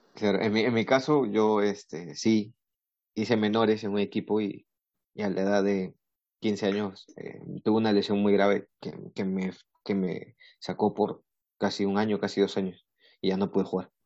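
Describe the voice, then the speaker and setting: A man with a fairly low pitch speaks at a moderate pace in a monotone, flat intonation, with long, frequent pauses. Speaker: podcast host. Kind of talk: casual chat.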